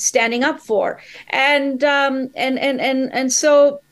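A woman speaks in a high-pitched voice. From India and the Middle East. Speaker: columnist and podcaster. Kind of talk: interview. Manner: halting with many fillers.

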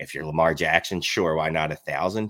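With a strong Philadelphia accent, a man speaks at a very deep, low pitch in a bright, sharp tone, the recording very clean with a silent background and a dry, close sound with no echo. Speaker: fantasy football analyst and podcaster. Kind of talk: casual chat about fantasy football. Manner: filler words, um-heavy.

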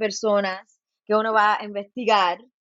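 A woman's fairly high pitch at a very slow pace. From US West Coast, Los Angeles. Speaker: professor and folklorist. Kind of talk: interview. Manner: halting, many repetitions and fillers; code-switching into English.

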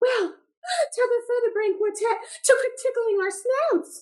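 A woman performs a put-on character voice at an extremely high pitch. She delivers it at a fairly slow pace. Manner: indignant, sassy.

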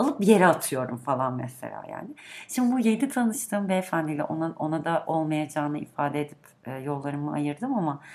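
Over noticeable background noise, a woman with a very deep, low pitch talks at a fairly quick pace with lively intonation. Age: 30s. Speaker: podcast guest, longtime listener. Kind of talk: casual chat.

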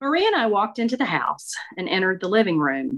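Bright and sharp in tone, a woman with a Mississippi accent speaks at a moderate pace. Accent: Mississippi Southern. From US South, northeast Mississippi. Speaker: author and storyteller. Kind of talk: reading aloud; interview.

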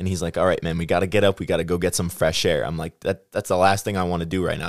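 A man's very deep, low voice in a Midwestern US accent, delivered at a very fast pace with fairly even intonation on a very clean recording with a silent background. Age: 20s. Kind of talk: casual chat.

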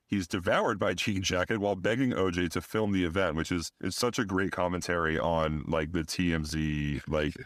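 At a moderate pace with hardly any pauses, the speech shows ordinary pitch variation on a very clean recording with a silent background. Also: man. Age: 30s. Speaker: podcast host. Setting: interview recorded in a taproom. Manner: animated, tongue-in-cheek, theatrical announcer delivery.

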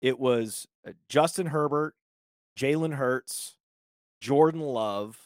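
In a dry, close sound with no echo, a man with a fairly high pitch speaks at a very slow pace, with long, frequent pauses and ordinary pitch variation. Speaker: fantasy sports media executive. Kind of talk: casual chat.

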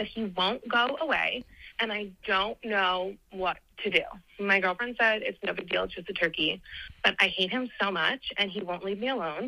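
A woman talks in a normal speaking voice. Ordinary pitch variation plays across her medium pitch. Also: moderate pace. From New Jersey.

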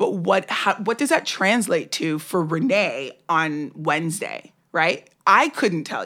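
A woman's medium-pitched voice in an American accent, bright and sharp in tone with lively intonation, on a very clean recording with a silent background. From New York, Brooklyn. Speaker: social media campaigner, former entertainment lawyer. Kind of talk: casual chat.

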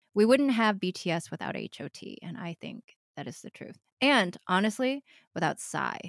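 A woman at medium pitch with vocal fry, lively intonation and big swings in loudness, moderate pace, dry, close sound with no echo. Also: very clean recording, silent background. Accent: American. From US Midwest, Metro Detroit suburbs. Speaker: writer and improviser. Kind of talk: casual chat.

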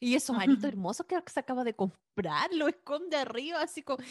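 A woman with a Chilean accent speaks at a moderate pace with ordinary pitch variation, in a dry, close sound with no echo and a quiet background. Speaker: film and TV podcast co-host. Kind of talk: casual chat.

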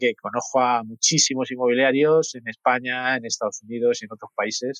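A man talks at a moderate pace and medium pitch. His intonation is monotone and flat. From Madrid, Spain. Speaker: mortgage company executive. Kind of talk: interview.

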